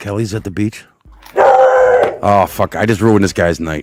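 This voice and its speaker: A man with a Boston accent speaks at a fairly slow pace. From Boston area, Massachusetts (Malden). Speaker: live stream viewer joining chat. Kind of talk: casual chat.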